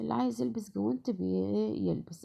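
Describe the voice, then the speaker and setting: A woman speaks with very wide pitch swings. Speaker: home cook. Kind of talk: cooking tutorial. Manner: conversational, halting with fillers.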